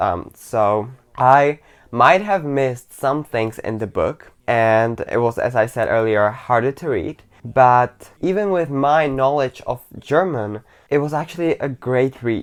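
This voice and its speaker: A man of medium pitch speaks at a fairly slow pace with ordinary pitch variation. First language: not English. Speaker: book reviewer. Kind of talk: casual video monologue. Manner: animated, with fillers.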